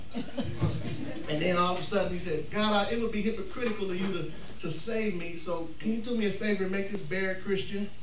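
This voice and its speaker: Against noticeable background noise, a man with a high voice talks at a fairly quick pace with hardly any pauses. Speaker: stand-up comedian. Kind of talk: stand-up comedy routine. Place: hall. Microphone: camera far.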